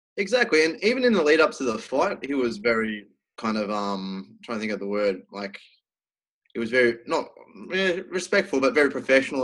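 Someone with an Australian accent talks at a very fast pace, with lively intonation and big swings in loudness. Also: man. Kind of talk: casual interview.

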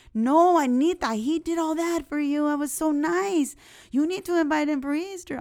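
A put-on character voice moves along at a moderate speed. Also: woman, high pitch for a woman. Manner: insisting, scolding.

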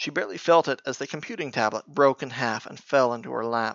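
What we hear is plain reading aloud.

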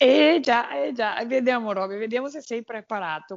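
The speaker has a Portuguese accent and a lively intonation. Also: woman. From Brazil, Minas Gerais. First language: Portuguese (speaking Italian). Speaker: walker and TV presenter. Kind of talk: casual interview.

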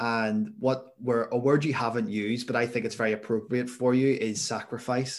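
With a Northern Irish accent, a man speaks at a moderate pace with hardly any pauses, in a medium pitch with ordinary pitch variation. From Northern Ireland, near Belfast. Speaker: podcast host. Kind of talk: interview.

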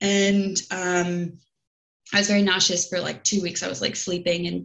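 Speaking with an American accent, a woman uses a medium pitch and flat, monotone intonation at a moderate pace. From United States. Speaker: podcast guest sharing miscarriage story. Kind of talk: personal testimony in casual interview.

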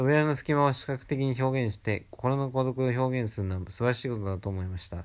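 A man's ordinary speaking voice, medium in pitch with ordinary pitch variation, fairly quick with hardly any pauses, on a very clean recording with a silent background. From Japan. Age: 20s. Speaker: film fan. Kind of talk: reading aloud.

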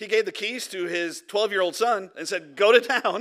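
Raised and projected, a man's voice carries a bright, sharp tone and a Midwestern American accent. He talks at a fairly quick pace in a very clean recording with a silent background. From Michigan, Detroit area. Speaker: pastor. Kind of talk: sermon. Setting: church.

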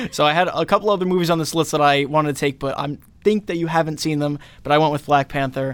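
This man talks at a very fast pace with a fairly high pitch and fairly even intonation. The recording is very clean, with a silent background. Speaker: student podcast host. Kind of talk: casual chat.

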